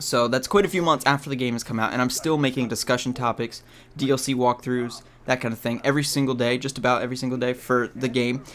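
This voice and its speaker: A man at medium pitch talks very fast with fairly even intonation. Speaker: gaming youtuber. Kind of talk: rant video. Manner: halting, stuttering.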